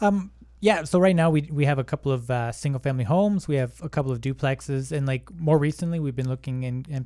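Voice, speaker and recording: Speaking at a very fast pace with a Canadian accent, a man uses a fairly high pitch with ordinary variation, in a very clean recording with a silent background. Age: 30s. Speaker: online business owner, real estate investor. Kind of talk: casual interview chat.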